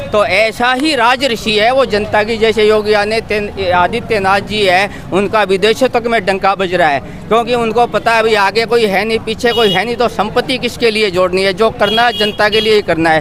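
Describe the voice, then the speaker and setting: A high-pitched man talks at a moderate pace with hardly any pauses, his intonation fairly even and his loudness very even. Noticeable background noise sits behind him. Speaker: local resident interviewed by reporter. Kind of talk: street interview.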